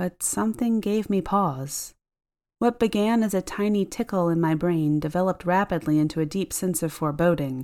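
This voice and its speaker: A woman speaks at a moderate pace in a dark, mellow tone, with ordinary pitch variation and very even loudness. The recording is very clean, with a silent background. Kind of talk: ghost story telling, hushed and suspenseful, building dread. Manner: intimate first-person confiding tone, shifting into quoted dialogue.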